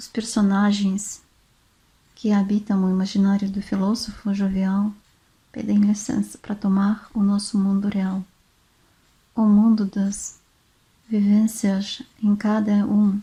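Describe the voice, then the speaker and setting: Her voice is dark, mellow and somewhat breathy at a medium pitch. The woman speaks very slowly with monotone, flat intonation. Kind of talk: relaxing book reading. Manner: soft-spoken, relaxing.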